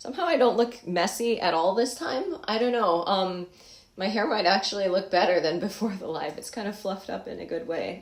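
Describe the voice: A woman puts on a hoarse character voice at a medium pitch. She talks at a fairly quick pace.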